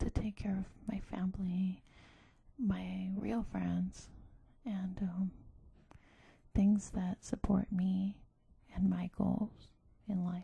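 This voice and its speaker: Soft-spoken and at a very slow pace, the speaker leaves long, frequent pauses. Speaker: ASMR creator. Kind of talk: ASMR soft-spoken self-help talk.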